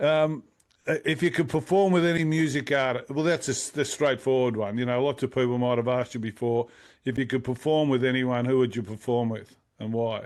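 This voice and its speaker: Speaking at a fairly quick pace, a man talks in an Australian accent. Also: medium pitch for a man, ordinary pitch variation, quiet background. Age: 60s. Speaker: music interviewer. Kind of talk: casual interview. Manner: halting.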